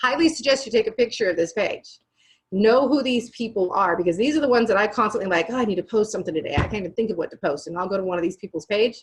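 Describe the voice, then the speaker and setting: A woman's fairly high, somewhat breathy voice at a very fast pace, with ordinary pitch variation. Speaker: business trainer. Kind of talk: training webinar.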